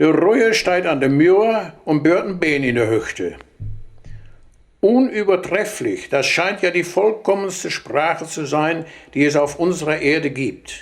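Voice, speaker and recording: A man speaks in a high pitch. Music plays in the background. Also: lively intonation, fairly slow pace. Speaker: dialect storyteller. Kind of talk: humorous dialect anecdote from an old record.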